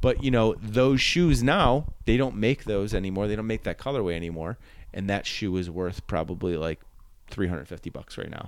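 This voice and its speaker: With a Buffalo accent, a man speaks at a moderate pace and a fairly low pitch, using lively intonation. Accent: Western New York (Buffalo) American. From Buffalo, New York. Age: 40s. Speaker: comedian. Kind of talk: casual chat.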